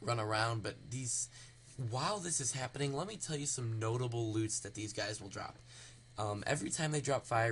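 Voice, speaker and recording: Soft-spoken and somewhat breathy, a man at medium pitch talks at a fairly quick pace with ordinary pitch variation. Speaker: gaming video creator. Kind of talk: tutorial. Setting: home recording, late at night. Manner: quiet, speaking softly; hesitant, many fillers.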